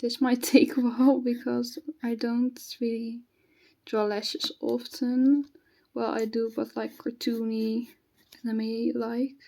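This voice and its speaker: A dark, mellow tone with a slight non-native accent, very slow pace, fairly even intonation and long, frequent pauses. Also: woman, high pitch for a woman. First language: not English. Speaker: hobby artist, new video creator. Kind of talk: casual draw-along chat. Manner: halting, with fillers and self-corrections.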